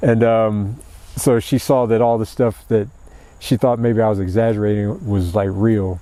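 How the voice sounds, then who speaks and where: A fairly low-pitched man speaks at a moderate pace with fairly even intonation. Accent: American. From Ohio, Columbus. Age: 60s. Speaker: college professor. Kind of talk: casual interview chat. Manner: hesitant, many fillers and restarts.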